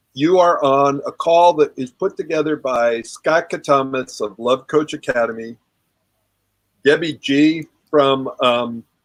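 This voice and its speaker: A normal speaking voice from a man, fairly high in pitch with ordinary pitch variation, at a fairly slow pace in a dry, close sound with no echo. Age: 60s. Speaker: relationship coach and author. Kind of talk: group discussion on a live call. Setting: online group call.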